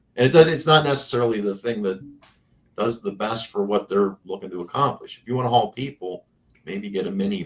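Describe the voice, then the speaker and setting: A man speaks with lively intonation in an American accent. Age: 50s. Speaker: classic car YouTuber. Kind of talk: casual chat. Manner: halting, many fillers.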